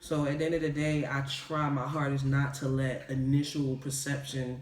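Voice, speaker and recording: Audible room echo surrounds a man's fairly high voice. Noticeable background noise is also present. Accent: American. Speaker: video podcast co-host. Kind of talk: casual chat. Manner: relaxed, casual, slang-heavy.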